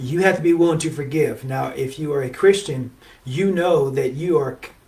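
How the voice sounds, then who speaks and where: A man's fairly high voice holds fairly even intonation at a moderate pace while noticeable background noise runs behind him. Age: 60s. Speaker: relationship show host. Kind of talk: motivational talk. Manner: conversational, with many fillers.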